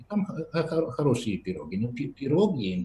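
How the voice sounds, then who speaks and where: A dark, mellow tone carries this voice. There is a somewhat breathy quality to it. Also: man. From Poland, Lesser Poland region. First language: Polish (speaking Russian). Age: 40s. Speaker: podcast guest, Russian learner from Poland. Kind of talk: casual interview. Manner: halting, many repetitions and fillers.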